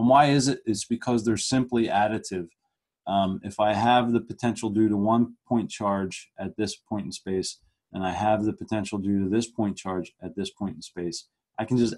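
A man with an ordinary speaking voice speaks at a moderate pace with fairly even intonation. His pitch is fairly low, and the background is quiet. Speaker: physics lecturer. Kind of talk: lecture. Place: home room. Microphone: webcam.

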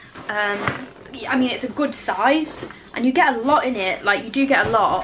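A woman talks at a moderate pace against noticeable background noise. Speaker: vlogger reviewing a hamper box. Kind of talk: casual vlog chat. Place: home room.

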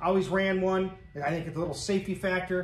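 A man's high-pitched voice at a very fast pace, with audible room echo. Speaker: garage channel host. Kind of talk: casual vlog chat. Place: garage. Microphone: camera far.

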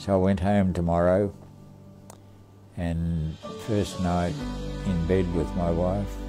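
Over clear music in the background, the speech moves at a very slow pace with long, frequent pauses and ordinary pitch variation. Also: man, very deep, low pitch for a man. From Tasmania, Australia. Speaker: war veteran. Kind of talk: interview answer. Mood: somber, reflective. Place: home room.

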